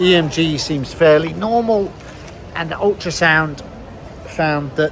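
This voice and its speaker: With lively intonation, a man talks in a British accent over noticeable background noise. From Britain. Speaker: vlogger. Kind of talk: vlog narration. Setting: hospital, walking around. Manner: casual, hesitant with fillers.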